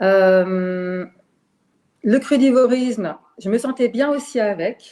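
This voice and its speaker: Speaking very slowly, a woman uses a fairly high pitch with ordinary variation and a dark, mellow tone. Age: 60s. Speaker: retired teacher. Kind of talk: testimony. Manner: halting.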